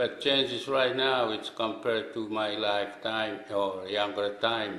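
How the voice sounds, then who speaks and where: A man speaks at a very slow pace in a monotone, flat delivery, with audible room echo. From Micronesia, outer islands of Yap. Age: 60s. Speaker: islander elder. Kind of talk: testimony. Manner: halting.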